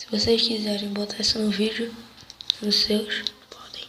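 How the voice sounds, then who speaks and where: Over noticeable background noise, a man talks at a very slow pace and high pitch in a monotone, flat intonation. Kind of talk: casual talk to camera.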